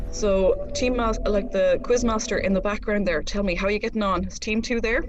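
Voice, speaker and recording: A woman with an East Galway accent at a fairly quick pace, with audible room echo and music in the background. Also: fairly high pitch for a woman. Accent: flat East Galway. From Ireland, East Galway. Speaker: quiz host, radio broadcaster. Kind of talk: live online quiz hosting. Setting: radio station studio, live stream. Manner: animated.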